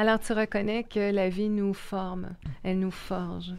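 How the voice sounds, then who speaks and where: In a Quebec accent, a woman of medium pitch speaks at a moderate pace with monotone, flat intonation. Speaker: podcast host. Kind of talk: interview conversation.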